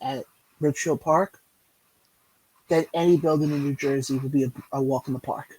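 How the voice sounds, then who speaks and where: A man's dark, mellow tone at a moderate pace, in a dry, close sound with no echo. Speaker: podcast host. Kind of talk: casual conversation.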